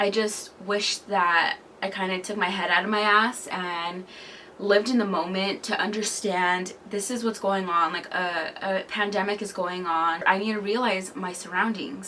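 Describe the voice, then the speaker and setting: Over noticeable background noise, the woman's intonation stays fairly even. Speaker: lifestyle vlogger. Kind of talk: casual vlog monologue. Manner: hesitant, halting.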